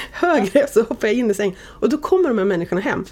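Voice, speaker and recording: Amid noticeable background noise, a woman talks at a very fast pace with lively intonation. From Sweden, Oxelösund (Södermanland). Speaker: media executive. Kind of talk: casual interview. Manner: animated.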